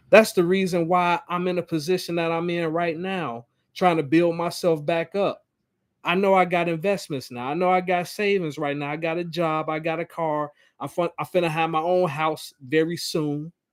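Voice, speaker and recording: A man with a high pitch speaks in fairly even intonation. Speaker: live-stream commentator. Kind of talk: live-stream monologue. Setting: live stream. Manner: slow, stumbles over words.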